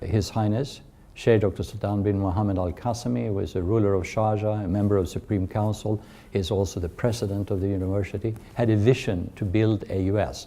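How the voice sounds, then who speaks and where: In a Swedish accent, the speaker talks at a fairly quick pace with fairly even intonation. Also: man, fairly low pitch for a man. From Sweden. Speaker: university chancellor. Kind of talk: interview. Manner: hesitant with fillers.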